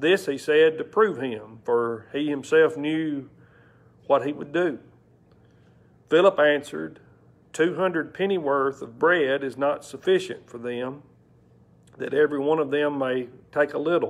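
A man speaks at a fairly slow pace with long, frequent pauses, big swings in loudness and ordinary pitch variation. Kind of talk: scripture reading. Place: church. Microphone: lapel.

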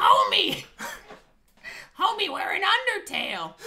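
In a raspy, put-on character voice with an extremely high pitch, the speaker goes at a fairly slow pace. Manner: exclaiming.

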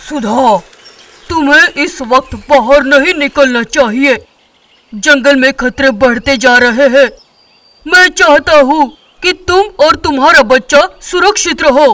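High in pitch, the voice is a put-on character voice. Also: fairly slow pace. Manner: protective, resolute, commanding.

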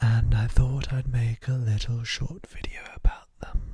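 A man's soft-spoken whispering, dry with no echo. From UK. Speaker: ASMR creator. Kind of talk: casual talk to camera, ASMR show and tell. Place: home room. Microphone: handheld.

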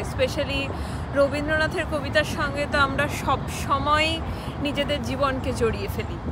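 Loud background noise surrounds a woman whose sound is dry with no echo. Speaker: poetry reciter. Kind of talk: casual talk to camera. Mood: warm, enthusiastic. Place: waterside. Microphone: phone near.

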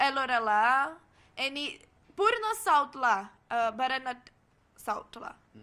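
In a Portuguese accent, a woman projects a raised, high-pitched voice with a bright, sharp tone and very wide pitch swings. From Brazil. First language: Portuguese (speaking Marathi). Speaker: cultural exchange student. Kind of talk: casual interview. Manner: halting.

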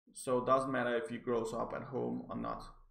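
A man is speaking here. He has a non-native accent. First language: not English. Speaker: psychology graduate. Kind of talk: article review to camera. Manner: hesitant, stammering.

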